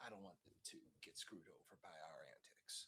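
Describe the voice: Whispering at a fairly quick pace, a man's voice carries a husky, rough edge.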